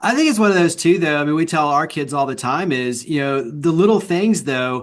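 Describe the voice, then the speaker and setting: A man with an American accent, a fairly quick pace, fairly high pitch, and a normal speaking voice. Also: ordinary pitch variation. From Texas. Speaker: podcast host. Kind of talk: interview podcast.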